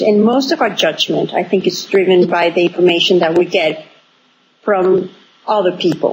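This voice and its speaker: A woman is talking. Her accent is Spanish, so she speaks with a Spanish accent. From Venezuela, small town. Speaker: author and entrepreneurship expert. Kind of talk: interview. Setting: remote call from abroad. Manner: halting, many fillers.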